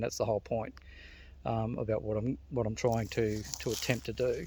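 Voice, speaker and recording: Fairly quick speech from a man at medium pitch, fairly even in intonation, over a quiet background. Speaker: men's wellbeing vlogger. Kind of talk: casual monologue. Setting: outdoors, walking in forest. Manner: gets loud when passionate; halting, many fillers.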